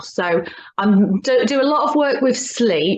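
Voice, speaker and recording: Her intonation is lively. This woman speaks with a Birmingham accent. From English Midlands, Birmingham. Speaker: hypnotherapist and coach. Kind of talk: casual interview chat. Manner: halting, many fillers and restarts.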